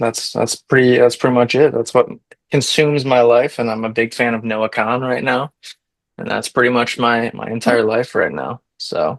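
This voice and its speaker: Using an American accent, a man speaks at a moderate pace with a medium pitch and fairly even intonation. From Michigan. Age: 20s. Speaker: podcast co-host. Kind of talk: casual chat. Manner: hesitant with many fillers.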